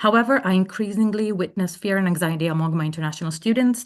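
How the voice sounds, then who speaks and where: A woman speaks with a non-native accent at medium pitch. Her pitch varies in an ordinary way against a quiet background. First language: not English. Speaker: language professor giving public testimony. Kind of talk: public hearing testimony. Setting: remote testimony, not in person. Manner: formal, prepared statement.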